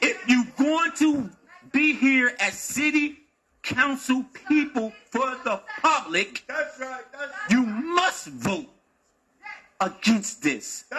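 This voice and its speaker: A man uses a raised, projected voice at an extremely high pitch. He goes at a very slow pace with lively intonation. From Wilmington, Delaware. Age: 60s. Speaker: community member speaking at public comment. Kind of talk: public comment at council meeting. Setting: city council meeting. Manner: heated, confrontational.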